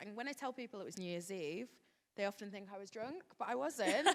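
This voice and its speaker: In a northern English accent, a woman talks at a fairly quick pace with a fairly high pitch and lively intonation. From West Yorkshire, northern England. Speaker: hair expert, panelist. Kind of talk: panel discussion.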